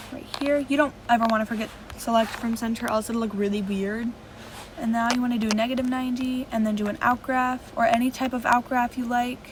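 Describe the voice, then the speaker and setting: A woman talks at a fairly quick pace in a high voice with fairly even intonation, and noticeable background noise can be heard. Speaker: video editing tutorial youtuber. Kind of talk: tutorial. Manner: fast.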